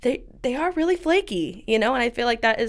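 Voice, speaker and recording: A woman talks very fast and loudly in a bubbly tone. Her pitch swings very widely. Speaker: hair salon owner. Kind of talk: interview. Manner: loud, bubbly.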